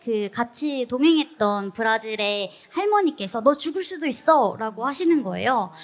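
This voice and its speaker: An unremarkable speaking voice from a woman, fairly high and fairly slow, with lively intonation on a very clean recording with a silent background. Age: 30s. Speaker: travel YouTuber. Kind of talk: live interview on stage. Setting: stage with audience.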